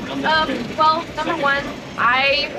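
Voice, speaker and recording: Amid noticeable background noise and audible room echo, a woman uses a raised, projected voice at a high pitch. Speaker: aviation nonprofit member, student pilot. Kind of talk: interview. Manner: loud.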